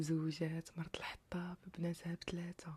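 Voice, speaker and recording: Soft-spoken with a calm tone, the speaker talks at a very slow pace in a Moroccan accent. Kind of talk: sleep story. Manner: calm, soft-spoken.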